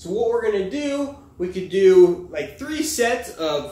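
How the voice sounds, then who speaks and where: Audible room echo surrounds the speech of a man. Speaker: fitness coach. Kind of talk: tutorial. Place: gym. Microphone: camera far.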